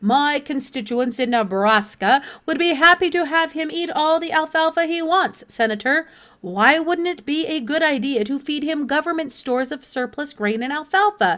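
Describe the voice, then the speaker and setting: A woman's drawling put-on character voice, high-pitched, with lively intonation at a moderate pace. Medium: read story. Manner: drawling, unhurried.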